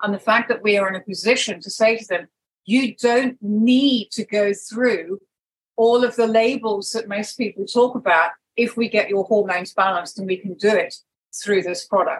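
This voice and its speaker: A woman speaks at a moderate pace with a fairly high pitch. Her voice is somewhat breathy. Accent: southern English. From United Kingdom. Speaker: wellness practitioner and network marketing leader. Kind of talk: interview.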